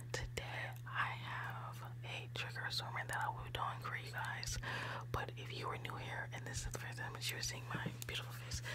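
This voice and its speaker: Amid loud background noise, a soft-spoken woman whispers at a moderate pace. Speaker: ASMR creator. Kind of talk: ASMR intro to camera. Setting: close to microphone. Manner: soft-spoken, whispery, repetitive greetings. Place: home room. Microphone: studio mic.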